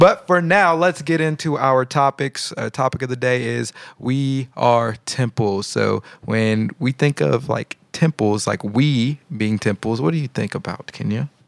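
A man with medium pitch and an unremarkable speaking voice talks at a fairly slow pace with lively intonation and hardly any pauses. The sound is dry and close, with no echo. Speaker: podcast host. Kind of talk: casual religious talk show, reacting to videos. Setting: live-streamed recording.

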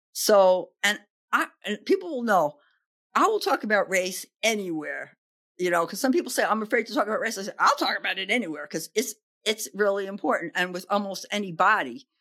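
A woman with an American accent, a bright, sharp tone, medium pitch, lively intonation and a fairly quick pace. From New York, the Bronx. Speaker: podcast host and diversity speaker. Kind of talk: interview.

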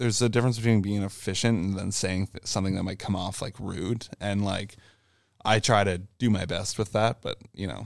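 A man with a Canadian accent talks at a fairly quick pace with fairly even intonation. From Ontario, Canada (Brockville). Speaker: tour manager and front of house engineer. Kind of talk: casual chat.

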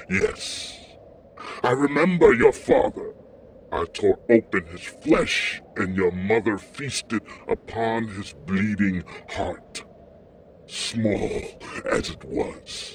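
A man's put-on character voice at a medium pitch, menacing in tone, with a very slow pace and long, frequent pauses. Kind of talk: dark fantasy audio drama villain. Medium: audio drama. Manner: menacing, gloating.

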